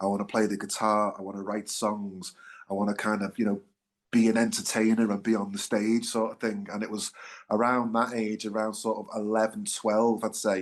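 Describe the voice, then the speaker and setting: In a Liverpool accent, a man talks at a fairly quick pace with a fairly low pitch. His intonation is monotone and flat, and the background is quiet. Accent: Liverpool (Scouse). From Liverpool, England. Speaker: singer-songwriter, band frontman. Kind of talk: interview, casual chat. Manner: hesitant, many fillers.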